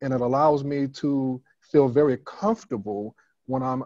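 Over a quiet background, a man with an American accent talks at a fairly slow pace in a dark, mellow tone, the sound dry with no echo. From US Northeast (Brooklyn, New York); New York. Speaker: church elder and author; guest. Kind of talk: interview. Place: home room. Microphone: video call.

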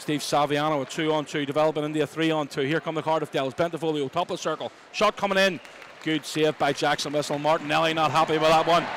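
A man talks very fast in a monotone, flat intonation at a fairly high pitch. The sound is dry with no echo, and crowd noise runs in the background. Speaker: ice hockey commentator. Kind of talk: live ice hockey play-by-play commentary. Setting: arena broadcast. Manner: fast, urgent, rising and falling with the action, clipped play-by-play. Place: stadium.

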